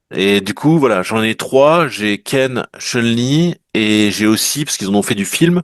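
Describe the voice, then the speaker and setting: A man speaks at a very slow pace, with lively intonation and hardly any pauses. The sound is dry and close, with no echo. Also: medium pitch for a man. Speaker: collector of vintage toys and trading cards. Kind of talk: casual chat. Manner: animated.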